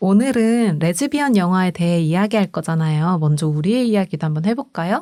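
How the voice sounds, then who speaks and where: A woman with a dark, mellow tone speaks at a medium pitch with lively intonation. She goes at a fairly quick pace with hardly any pauses, on a very clean recording with a silent background. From provincial Korea (outside Seoul). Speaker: podcast co-host. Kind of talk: casual chat.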